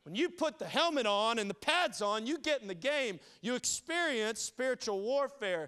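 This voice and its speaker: At a moderate pace, a man with a Southern US accent uses a raised, projected voice of extremely high pitch, with very wide pitch swings and a bright, sharp, animated tone. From New Orleans, then South Carolina from 14. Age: 30s. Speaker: pastor. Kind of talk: sermon.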